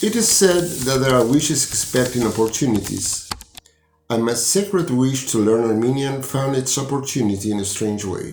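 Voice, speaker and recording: Amid audible room echo, a man of medium pitch speaks at a moderate pace with lively intonation. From Argentina. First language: Spanish. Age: 60s. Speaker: university professor and language student. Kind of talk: personal testimony. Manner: formal.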